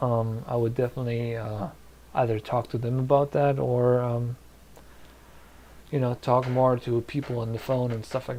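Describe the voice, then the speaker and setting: A man's somewhat breathy voice, dark and mellow in tone, at medium pitch and moderate pace, with monotone, flat intonation and light background noise. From Germany, Polish-speaking family. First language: Polish. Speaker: YouTuber, visual effects creator; streamer giving advice. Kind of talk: live stream chat Q&A. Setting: live stream from home. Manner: hesitant, many fillers. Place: home room.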